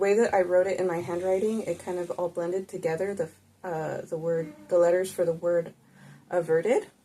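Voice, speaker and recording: Soft-spoken and relaxed in tone, a woman talks at a moderate pace and a medium pitch. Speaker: tarot reader and spiritual healer. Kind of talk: casual tarot reading to camera. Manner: relaxed, unscripted.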